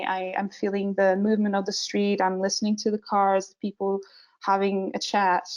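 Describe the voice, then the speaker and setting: In a Portuguese accent, a woman speaks at a medium pitch and moderate pace with monotone, flat intonation. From Portugal. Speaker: visual development artist. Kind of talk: webinar presentation. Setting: online webinar, screen share. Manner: many filler words and hesitations.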